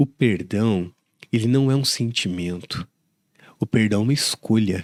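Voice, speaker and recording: Speaking in a plain, everyday voice, a man talks at a fairly slow pace with a fairly low pitch. His loudness stays very even, and his pitch varies in an ordinary way. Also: dry, close sound with no echo. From Brazil, southern Minas Gerais. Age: 40s. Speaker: pastor. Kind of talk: interview.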